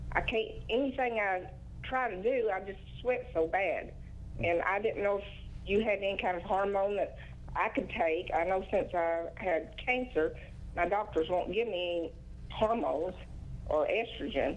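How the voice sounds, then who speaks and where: Amid audible room echo, a woman at medium pitch speaks at a moderate pace with ordinary pitch variation and long, frequent pauses. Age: 60s. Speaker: caller. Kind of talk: call-in question.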